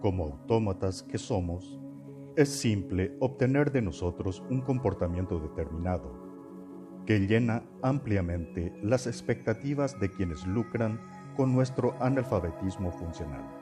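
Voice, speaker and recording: Over music in the background, a man speaks fairly slowly at a fairly low pitch, his voice making very wide pitch swings. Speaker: narrator. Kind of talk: podcast essay narration.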